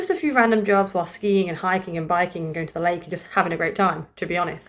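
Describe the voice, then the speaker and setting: Here a woman speaks with a British accent. Her pitch is fairly low. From England, East Midlands (Grantham). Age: 20s. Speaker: vlogger. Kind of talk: casual chat. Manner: casual, hesitant with fillers.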